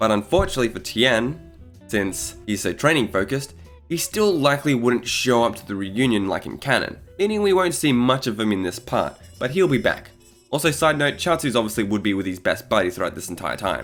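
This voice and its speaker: Over background music, a man speaks fairly quickly at medium pitch with very wide pitch swings. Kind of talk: casual fan-theory commentary narration.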